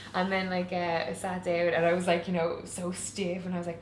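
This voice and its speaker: Amid audible room echo and noticeable background noise, a woman talks at a very fast pace in a medium-pitched voice. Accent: Waterford Irish. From Ireland, Waterford. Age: 30s. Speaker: online show creator and interviewer. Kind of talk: casual chat. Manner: animated.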